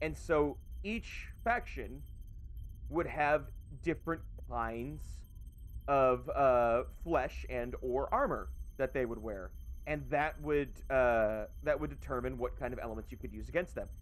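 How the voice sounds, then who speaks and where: A man talking at a fairly slow pace with long, frequent pauses, music in the background. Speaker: VTuber streamer. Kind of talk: casual livestream chat. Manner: loud; animated.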